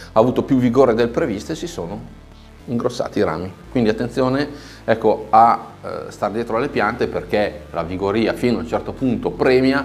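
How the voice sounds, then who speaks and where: Faint music plays behind a man who speaks at a fairly quick pace. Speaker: bonsai instructor. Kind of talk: tutorial. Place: studio.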